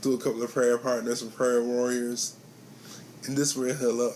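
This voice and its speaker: The speaker is a man. His pitch is medium. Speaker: vlogger sharing personal health story. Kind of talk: personal testimony vlog. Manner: speech affected by facial condition, some slurring; repeats phrases.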